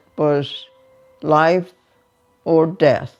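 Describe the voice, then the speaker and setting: Music plays in the background as a woman speaks very slowly at a fairly low pitch. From Hungary. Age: 80s+. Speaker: Holocaust survivor. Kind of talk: interview answer.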